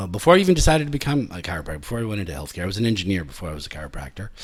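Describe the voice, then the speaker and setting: Vocal fry marks this man's speech, captured on a very clean recording with a silent background. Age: 60s. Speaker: chiropractor. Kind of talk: interview. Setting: his office. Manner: halting, with many fillers.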